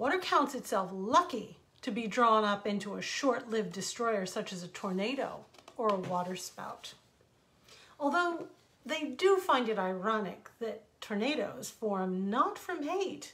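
The woman's pitch makes very wide swings. She speaks at a fairly slow pace. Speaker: storyteller. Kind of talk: reading a story aloud. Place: home room. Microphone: earbuds.

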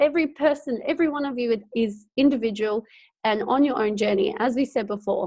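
With an Australian accent, a woman speaks at a moderate pace and a fairly high pitch. The background is quiet. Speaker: network marketing director; co-host. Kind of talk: team training webinar. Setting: video call from home. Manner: animated. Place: home room. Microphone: earbuds.

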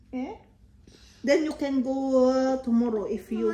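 In a room with audible echo, a woman speaks fairly slowly in a high voice. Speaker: family vlogger. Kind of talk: casual vlog chat. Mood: calm, gentle. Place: home room. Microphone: phone near.

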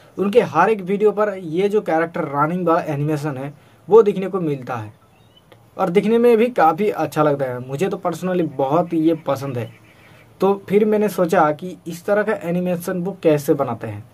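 A man with a high voice speaks at a fairly slow pace. His intonation is lively. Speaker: tutorial video maker. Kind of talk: tutorial. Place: home room. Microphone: phone near.

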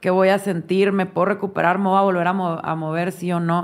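A woman talks in a strong northern Mexican accent at a medium pitch. She keeps a moderate pace with ordinary pitch variation. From northern Mexico, Chihuahua. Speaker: foundation director, illness survivor. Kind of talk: interview.

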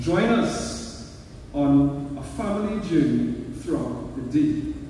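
A man's voice amid strong room echo and light background noise. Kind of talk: formal event announcement. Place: hall. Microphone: pa.

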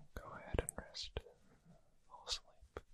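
Soft-spoken and whispering, the voice has a soothing tone at a fairly slow pace despite loud background noise. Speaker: audio roleplay narrator. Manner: soft soothing whisper, lulling to sleep.

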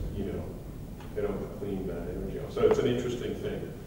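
A man talks at a very fast pace over noticeable background noise, with strong room echo. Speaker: course instructor. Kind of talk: lecture. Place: hall. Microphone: camera far.

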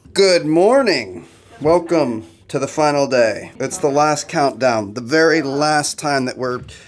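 Here a man speaks at a fairly slow pace with ordinary pitch variation. Light background noise runs underneath. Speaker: travel vlogger. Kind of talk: casual vlog chat. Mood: wistful but cheerful. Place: boat. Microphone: phone near.

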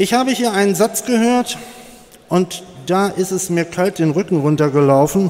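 Spoken at a very slow pace, the voice has a lively intonation. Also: man. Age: 60s. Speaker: political candidate; candidate. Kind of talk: campaign speech. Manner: forceful. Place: hall. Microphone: podium.

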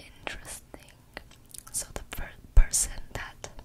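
A woman is whispering. She goes very slowly. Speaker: ASMR content creator. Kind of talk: ASMR trigger word whispering. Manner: whispered. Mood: playful, relaxed. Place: home room. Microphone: studio mic.

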